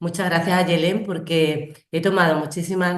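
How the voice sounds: A woman's low-pitched voice at a moderate pace, with fairly even intonation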